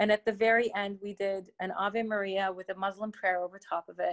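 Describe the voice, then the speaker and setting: A woman with a Canadian accent has an unremarkable speaking voice, medium in pitch, at a moderate pace with fairly even intonation. The background is quiet, and the sound is dry and close with no echo. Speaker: opera singer. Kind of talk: interview chat. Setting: remote interview.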